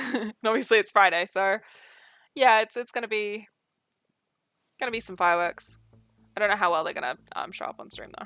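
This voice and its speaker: A woman with a New Zealand accent at a moderate pace, ordinary pitch variation, a dry, close sound with no echo, and music in the background. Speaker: streamer. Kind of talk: casual chat. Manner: slurred.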